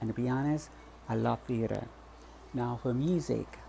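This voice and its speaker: A man with a US Virgin Islands accent at a moderate pace. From US Virgin Islands, Saint Thomas. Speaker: vlogger. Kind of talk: personal vlog. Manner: halting, many repetitions and false starts.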